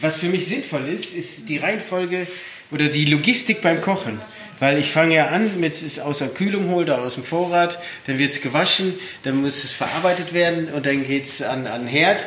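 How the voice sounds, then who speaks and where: A man speaks at a moderate pace in a fairly high pitch with ordinary pitch variation. Audible room echo and noticeable background noise surround his voice. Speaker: chef. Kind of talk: interview. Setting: studio kitchen.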